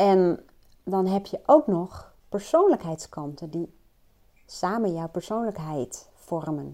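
A woman speaks at a very slow pace in a dark, mellow, medium-pitched voice with big swings in loudness. The recording is very clean, with a silent background. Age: 40s. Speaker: personal coach. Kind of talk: solo monologue. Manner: hesitant, many fillers.

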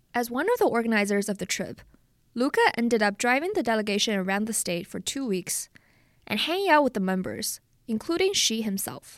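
A fairly quick pace in a Chinese accent, on a very clean recording with a silent background. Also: woman, fairly high pitch for a woman, lively intonation. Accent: Mandarin Chinese accent in English. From China, Jinan. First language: Mandarin Chinese. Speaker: podcast host and reporter. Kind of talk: scripted narration.

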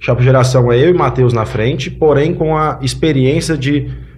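Against noticeable background noise and audible room echo, a man speaks at a moderate pace in a medium pitch with fairly even intonation. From Paracatu, Minas Gerais, Brazil; childhood in São Paulo. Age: 20s. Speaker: farmer, farmers' union candidate. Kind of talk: podcast interview.

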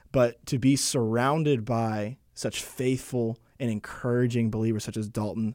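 A man with a normal speaking voice and an American accent, medium pitch, fairly even intonation and a moderate pace, on a very clean recording with a silent background. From Texas, Arlington. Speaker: seminary student and podcast engineer. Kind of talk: interview.

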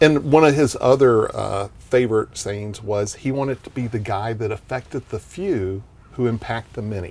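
Hardly any pauses break the speech of a man at medium pitch. His pace is moderate and his pitch varies in the ordinary way. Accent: Texan. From Texas, small town (Vernon). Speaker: marketing entrepreneur and event promoter. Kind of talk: casual interview chat.

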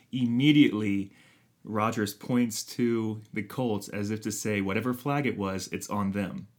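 A man with a plain, everyday voice speaks at a fairly slow pace and fairly low pitch with fairly even intonation, in a very clean recording with a silent background. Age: 30s. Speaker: sports podcast co-host. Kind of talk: casual chat.

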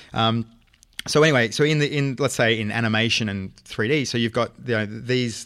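With an Australian accent, a man of medium pitch speaks at a fairly quick pace and with fairly even intonation. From Australia, Brisbane. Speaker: film writer and director. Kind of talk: casual chat. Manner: halting, many fillers.

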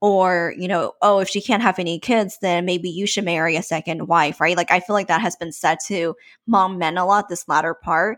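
On a very clean recording with a silent background, a woman with an American accent uses an ordinary speaking voice at a medium pitch, speaking at a moderate pace with fairly even intonation and hardly any pauses. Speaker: podcast co-host. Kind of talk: casual chat.

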